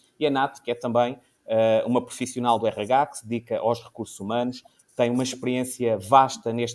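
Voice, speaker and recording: A man's medium-pitched voice in a European Portuguese accent, at a moderate pace with monotone, flat intonation. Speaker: talk show host. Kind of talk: informal panel discussion.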